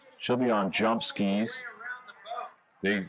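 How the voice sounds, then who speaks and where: A man's medium-pitched voice moves at a very slow pace. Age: 60s. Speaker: ski show announcer. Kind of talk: live commentary.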